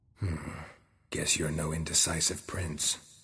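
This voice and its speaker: In a put-on character voice, a man growls at a very deep, low pitch, talking at a moderate pace. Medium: video game. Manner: terse, dry.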